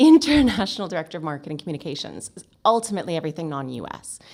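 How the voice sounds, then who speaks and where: A woman's fairly low pitch comes through on a very clean recording with a silent background. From Canada. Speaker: marketing agency founder. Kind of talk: podcast interview. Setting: in person studio.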